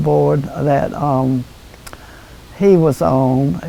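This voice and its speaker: Over noticeable background noise, a woman talks with an American accent. Her pitch is very deep and low, with ordinary variation. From North Carolina. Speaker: former town mayor. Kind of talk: interview answer. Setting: at home.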